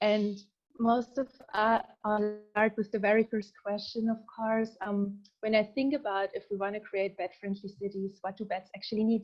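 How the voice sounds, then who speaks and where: Speaking at a moderate pace, a woman talks with a German accent. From southern Germany. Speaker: researcher. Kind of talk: presentation.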